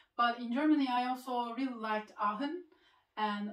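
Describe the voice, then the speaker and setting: A woman with a Turkish accent speaks at a moderate pace in a high voice. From Turkey (Izmir). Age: 20s. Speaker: medical student YouTuber. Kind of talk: casual Q&A video.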